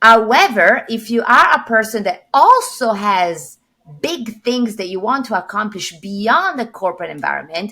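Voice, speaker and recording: A woman in an Italian accent, bright and sharp in tone, fairly high in pitch, with lively intonation at a moderate pace. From Italy. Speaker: corporate executive and coach. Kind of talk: podcast interview.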